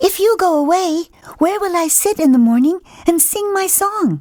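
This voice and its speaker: A squeaky, female-sounding put-on character voice at an extremely high pitch moves at a moderate pace. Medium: read story.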